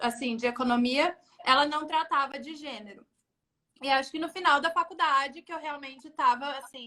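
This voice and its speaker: A woman uses a raised, projected voice with a high pitch, bright, sharp tone, ordinary pitch variation and big swings in loudness. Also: moderate pace. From São Paulo state interior (Jundiaí), Brazil. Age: 20s. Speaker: UN agency staff, economist. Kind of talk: interview. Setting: Instagram live.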